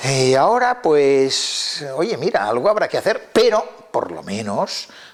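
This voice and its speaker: A man talks very slowly while noticeable background noise is heard. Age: 70s. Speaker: lexicologist and Latin expert. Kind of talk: interview talk. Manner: halting, with many fillers.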